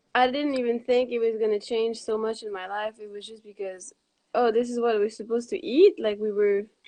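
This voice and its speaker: Speaking with a Quebec accent, a woman keeps a moderate pace. Her fairly high voice has monotone, flat intonation. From Quebec, Montreal. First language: French. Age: 20s. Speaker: raw vegan cookbook author. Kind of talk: casual interview.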